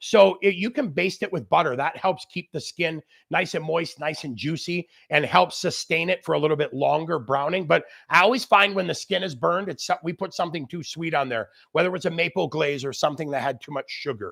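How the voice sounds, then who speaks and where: A loud, animated man with a high pitch and ordinary pitch variation, at a fairly quick pace, in a dry, close sound with no echo on a very clean recording over a silent background. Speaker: grilling expert chef. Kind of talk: live cooking demo with Q&A. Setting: outdoor barbecue area, livestream.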